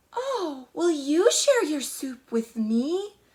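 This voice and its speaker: In a put-on character voice, a woman speaks very slowly at a high pitch. Her pitch swings very widely. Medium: read story. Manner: purring.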